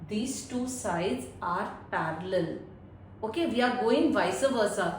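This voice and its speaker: A woman with a high pitch speaks at a very slow pace. Noticeable background noise and audible room echo fill the recording. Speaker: math teacher. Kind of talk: tutorial. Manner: slow, deliberate.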